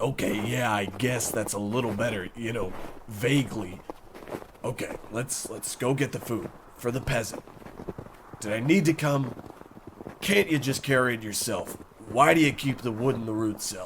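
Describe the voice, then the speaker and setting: Using a raspy, put-on character voice at a medium pitch, a man speaks at a moderate pace with long, frequent pauses over clear background noise. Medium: audio drama. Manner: flat, reluctant.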